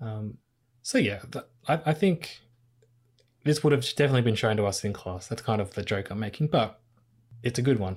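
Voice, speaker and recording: With an Australian accent, a man speaks at a fairly quick pace in a somewhat breathy voice with lively intonation and long, frequent pauses, recorded very cleanly over a silent background. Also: medium pitch for a man. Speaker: podcast host. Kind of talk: casual chat.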